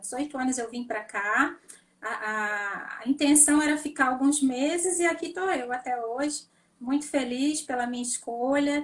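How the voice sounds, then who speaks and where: The pitch moves with ordinary variation. The pace is fairly slow. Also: woman, high pitch for a woman. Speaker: neurologist. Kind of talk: interview.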